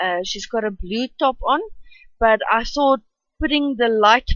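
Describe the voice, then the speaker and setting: A woman speaks with a South African accent. Her pitch is fairly high. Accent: Afrikaans-accented English. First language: Afrikaans. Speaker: art youtuber. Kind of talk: tutorial voice-over. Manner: halting.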